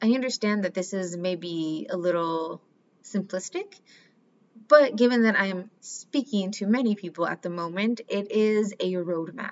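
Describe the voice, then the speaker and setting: A woman speaks in a normal speaking voice with an American accent and medium pitch. Her pace is fairly slow, and her pitch varies an ordinary amount. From Mexican American, US. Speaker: life coach. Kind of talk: solo podcast monologue.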